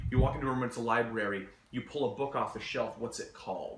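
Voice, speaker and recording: A man talks at a medium pitch. Noticeable background noise runs underneath. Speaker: game master. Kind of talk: casual conversation, advice talk.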